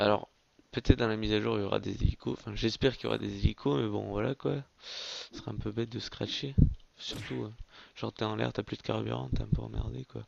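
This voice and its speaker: A man at a fairly quick pace, with very wide pitch swings and vocal fry. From France. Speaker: gaming YouTuber. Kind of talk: gameplay commentary. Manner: casual, hesitant with fillers.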